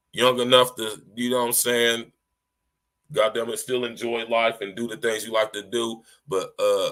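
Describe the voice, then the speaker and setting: Bright and sharp in tone, a man's voice moves at a fairly quick pace. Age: 40s. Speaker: podcast host. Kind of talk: casual chat. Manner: animated.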